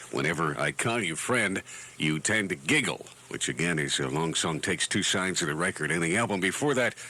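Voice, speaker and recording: Over noticeable background noise, a man with a very deep, low pitch speaks at a fairly quick pace, with very even loudness and lively intonation. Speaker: radio announcer. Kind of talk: radio DJ patter. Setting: radio broadcast.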